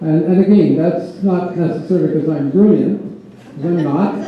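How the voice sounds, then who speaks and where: With a Canadian accent, the speaker keeps a fairly even intonation at a moderate pace, with audible room echo and noticeable background noise. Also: man. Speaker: election candidate. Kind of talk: candidates debate.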